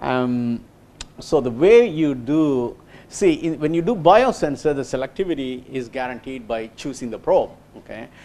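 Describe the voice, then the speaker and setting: With a dark, mellow tone and fairly high pitch, a man speaks at a moderate pace, his intonation lively and his loudness swinging widely. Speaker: engineer giving a research talk. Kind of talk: lecture. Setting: small lecture room. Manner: halting, many fillers.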